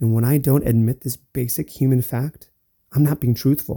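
A man speaks in a dark, mellow, somewhat breathy voice at a medium pitch. His moderate-paced speech has a dry, close sound with no echo. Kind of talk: solo podcast monologue. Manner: stutters and stumbles.

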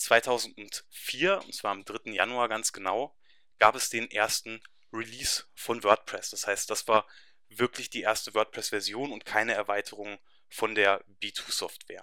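A man's bright, sharp tone at a fairly slow pace, with fairly even intonation and big swings in loudness. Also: medium pitch for a man. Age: 20s. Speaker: web developer. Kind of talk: webinar presentation. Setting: webinar.

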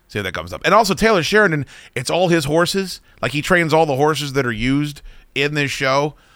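Very fast and lively, a man talks in a fairly high pitch with a bright, sharp tone. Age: 40s. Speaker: radio host. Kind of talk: casual chat. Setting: studio.

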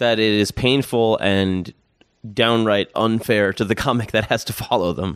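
In an American accent, a man with a plain, everyday voice and fairly low pitch speaks at a moderate pace with fairly even intonation. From Long Island, New York. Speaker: stand-up comedian. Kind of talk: casual chat.

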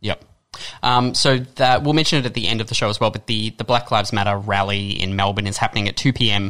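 A man's bright, sharp, fairly low voice with an Australian accent, very fast, with fairly even intonation. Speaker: radio presenter. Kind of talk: radio discussion. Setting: radio studio.

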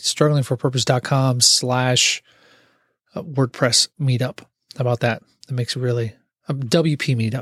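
In a very clean recording with a silent background and a dry, close sound with no echo, a man of medium pitch speaks somewhat breathily at a moderate pace with fairly even intonation. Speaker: podcast host and IT worker. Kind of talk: solo casual monologue. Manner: halting, stumbling over words.

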